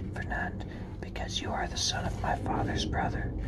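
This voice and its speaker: Someone whispers throughout. The pace is moderate. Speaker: ASMR reader. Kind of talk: classic novel reading. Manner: whispered; soft-spoken.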